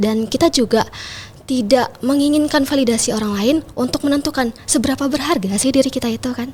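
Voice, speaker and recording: Her voice is high-pitched, with ordinary pitch variation, and she talks at a very fast pace. Noticeable background noise runs underneath the woman's speech. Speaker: pageant titleholder and MC. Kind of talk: podcast interview.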